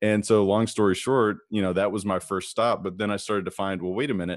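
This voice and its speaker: The background is silent on a very clean recording. A man talks there with fairly even intonation. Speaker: real estate investor and coach. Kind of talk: interview.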